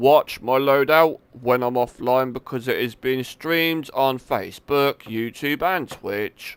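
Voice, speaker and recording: A man with a British accent speaks at a fairly slow pace with hardly any pauses, his medium pitch showing ordinary variation. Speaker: gaming streamer. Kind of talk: live gameplay commentary. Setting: live stream. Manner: casual, halting.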